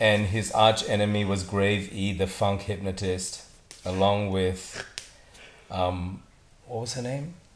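Amid audible room echo and noticeable background noise, a man with a fairly low pitch and fairly even intonation speaks at a very slow pace, leaving long, frequent pauses. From Singapore. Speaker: director and entrepreneur. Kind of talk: casual chat.

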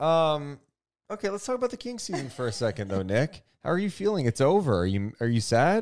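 On a very clean recording with a silent background, a man with an American accent and a fairly high pitch talks at a fairly quick pace with very wide pitch swings. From Sacramento, California. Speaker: sports podcast host. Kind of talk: casual chat.

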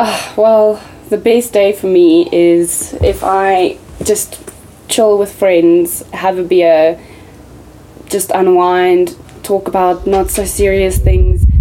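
Noticeable background noise sits behind a woman's medium-pitched voice. She speaks very slowly in a monotone, flat intonation. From South Africa, Johannesburg. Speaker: clothing brand owner. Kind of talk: casual chat.

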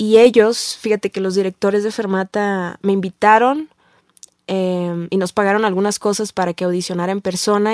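In an ordinary speaking voice, a woman talks slowly-ish at a fairly slow pace with medium pitch and fairly even intonation, the sound dry and close with no echo. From Tijuana, northern Mexico. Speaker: singer-songwriter. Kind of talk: casual interview.

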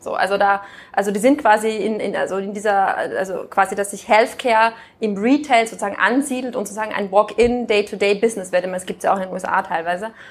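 With fairly even intonation, the words come out at a very fast pace. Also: woman, fairly high pitch for a woman. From Austria. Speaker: business executive. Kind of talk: interview.

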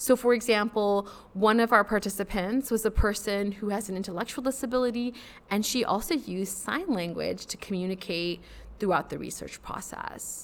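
Speaking with a Midwestern American accent, a woman has a medium pitch, ordinary pitch variation and a moderate pace. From US Midwest (suburban Chicago). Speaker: psychology professor. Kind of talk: interview conversation.

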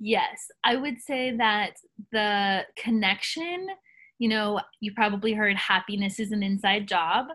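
A woman speaks with a bright, sharp tone. Her pitch sits fairly high. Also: ordinary pitch variation, fairly slow pace. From US South. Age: young. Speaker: soul coach. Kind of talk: interview.

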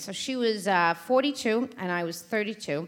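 A woman speaks in a New York accent with an animated tone. Her voice is fairly high and her intonation lively. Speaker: event host and storyteller. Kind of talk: live storytelling. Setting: stage with audience.

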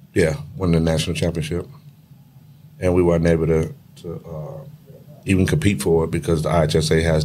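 A man with a very deep, low voice speaks at a very fast pace, his pitch varying in an ordinary way, with audible echo from the room. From Chicago, west side. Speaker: retired high school basketball coach. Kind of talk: casual interview chat.

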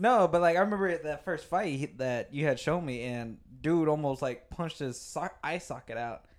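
A man with an American accent uses an ordinary speaking voice at a fairly high pitch. He talks at a moderate pace with lively intonation and hardly any pauses. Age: 20s. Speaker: podcast guest. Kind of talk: casual chat. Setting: home studio.

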